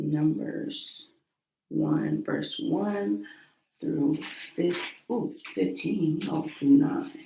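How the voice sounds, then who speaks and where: Long pauses come often in this very slowly paced speech. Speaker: Bible reading livestreamer. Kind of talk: casual livestream chat and Bible reading. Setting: livestream from a small room at home. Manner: quiet so as not to wake roommates.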